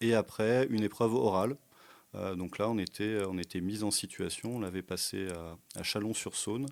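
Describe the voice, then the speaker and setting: A man speaks at a moderate pace in a fairly low voice with ordinary pitch variation. The recording is very clean, with a silent background. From France, Burgundy (Brionnais). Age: 40s. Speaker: tour guide and history teacher. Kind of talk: podcast interview. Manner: hesitant, many fillers.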